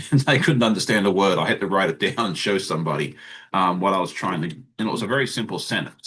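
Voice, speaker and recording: This man has an Australian accent and a bright, sharp tone at a fairly low pitch. He talks at a fairly quick pace against a quiet background. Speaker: sewing channel creator. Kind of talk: casual chat.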